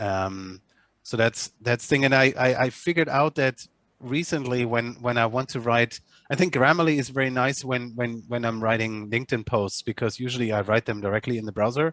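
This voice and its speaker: A man's medium-pitched voice in a German accent, fairly quick, with ordinary pitch variation and a dry, close sound with no echo. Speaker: agency manager. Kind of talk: online meeting discussion. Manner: halting, many repetitions and fillers.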